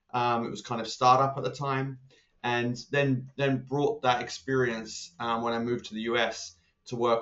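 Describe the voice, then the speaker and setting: A man with an English accent, medium pitch and monotone, flat intonation, at a moderate pace. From England. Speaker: consulting leader. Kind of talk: podcast interview. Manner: hesitant, many fillers.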